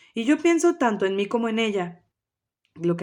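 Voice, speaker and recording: A woman talks at a moderate pace. The background is silent and the recording very clean. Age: 30s. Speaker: family coach. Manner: hesitant with fillers.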